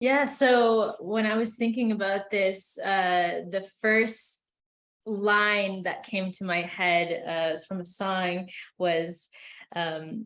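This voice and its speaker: A woman talks at a very slow pace. Her pitch is medium, with ordinary variation. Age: 20s. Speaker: college student. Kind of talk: panel discussion. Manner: halting, many fillers.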